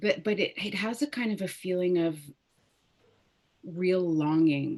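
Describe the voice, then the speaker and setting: A woman with a Canadian accent speaks fairly slowly at a medium pitch with lively intonation. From Ottawa, Canada (moved from Lebanon at six). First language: Arabic. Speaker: opera singer. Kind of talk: interview.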